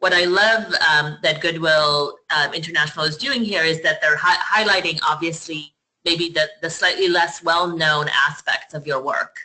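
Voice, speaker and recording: At a moderate pace and with hardly any pauses, a woman talks in a fairly low pitch with fairly even intonation. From Poland, moved to the US at twelve. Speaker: nonprofit platform presenter. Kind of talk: webinar commentary. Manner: halting, repeats words.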